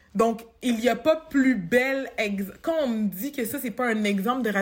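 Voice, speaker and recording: Her voice is fairly high and shows ordinary pitch variation. This woman has an ordinary speaking voice. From Quebec, Montreal. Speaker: human resources professional. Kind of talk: interview conversation.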